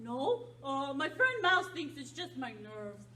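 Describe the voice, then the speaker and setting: A cartoonish character voice that sounds female talks at a fairly slow pace against clear background noise. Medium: puppet. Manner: hesitant, stammering.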